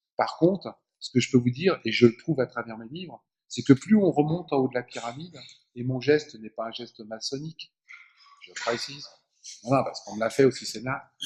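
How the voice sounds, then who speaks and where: Somewhat breathy and medium in pitch, a man talks at a fairly quick pace with ordinary pitch variation, big swings in loudness and long, frequent pauses. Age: 60s. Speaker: former politician, author and speaker. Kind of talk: public lecture. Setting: conference hall with audience.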